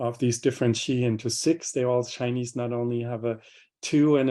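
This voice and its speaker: Monotone and flat, a man with a medium pitch speaks at a moderate pace. His tone is dark and mellow. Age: 60s. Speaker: professor of Chinese medicine. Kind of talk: lecture Q&A answer. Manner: halting, many fillers.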